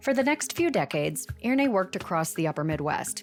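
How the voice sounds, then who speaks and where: With music in the background, a woman rattles along at a very fast pace, her pitch swinging very widely. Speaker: podcast reporter. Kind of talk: documentary narration.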